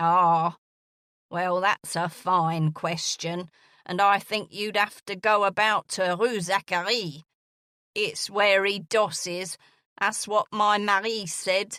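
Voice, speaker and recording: In a put-on character voice, a woman sounds gravelly at a medium pitch, with fairly even intonation and a fairly slow pace. The very clean recording has a silent background and a dry, close sound with no echo. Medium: read story. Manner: blunt, impatient.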